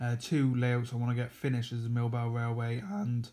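A man's voice at a moderate pace, with fairly even intonation. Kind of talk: casual vlog chat. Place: home room. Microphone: phone near.

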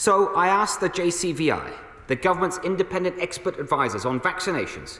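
Recorded with audible room echo, a man talks at a moderate pace. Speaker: government minister. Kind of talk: formal parliamentary statement. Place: hall. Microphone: podium.

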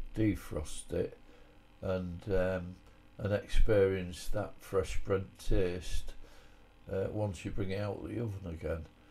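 A man speaks with a Hull accent. His pace is very slow. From Hull, England. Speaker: army veteran. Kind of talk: home cooking tutorial voice-over. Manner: casual, hesitant.

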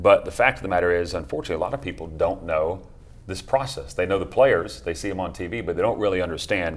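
The pace of this man's speech is fairly quick. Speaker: TV show host. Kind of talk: talk show host introduction. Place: studio. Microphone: lapel.

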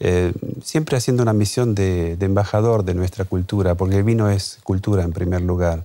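At a moderate pace, a man talks with a very deep, low pitch and a dark, mellow tone. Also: very even loudness. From Argentina, Chaco (north). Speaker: wine importer and expert. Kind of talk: TV interview; interview soundbite.

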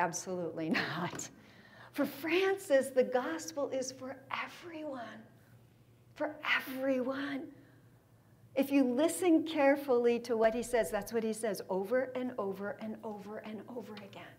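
An animated tone in an American accent, with lively intonation and big swings in loudness. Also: woman, high pitch for a woman, fairly slow pace. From San Diego, California; California. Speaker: theology speaker; speaker. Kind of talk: lecture. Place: meeting room.

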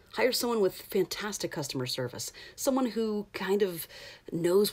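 Upbeat in tone, a woman talks at a fairly quick pace. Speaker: voice actor. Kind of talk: casual talk to camera. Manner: conversational, upbeat. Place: booth. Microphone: phone near.

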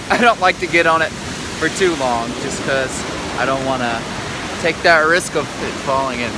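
Over loud background noise, a man talks at a moderate pace with ordinary pitch variation in a dry sound with no echo. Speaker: vlogger. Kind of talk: casual vlog chat. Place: waterside. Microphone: phone near.

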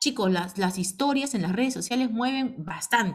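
Somewhat breathy and fairly high-pitched, a woman talks at a moderate pace. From Peru, provinces outside Lima. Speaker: direct sales team leader. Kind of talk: online business training meeting. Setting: video call. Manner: animated.

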